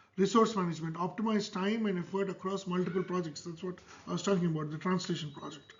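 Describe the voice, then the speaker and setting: Delivered in a Telugu accent, the speech runs at a very fast pace. The intonation stays fairly even. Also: man, high pitch for a man. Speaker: author and self-publishing educator. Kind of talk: tutorial. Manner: casual with frequent fillers.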